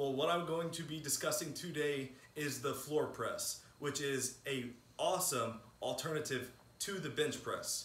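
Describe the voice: With a fairly bright tone, a man speaks at medium pitch and with ordinary pitch variation.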